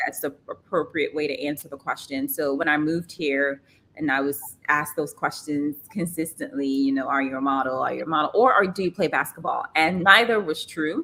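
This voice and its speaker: A loud woman with an American accent, very deep and low in pitch, bright and sharp in tone, at a fairly quick pace with ordinary pitch variation. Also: hardly any pauses. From Trinidad. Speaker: modeling agency founder and former model. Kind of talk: podcast interview.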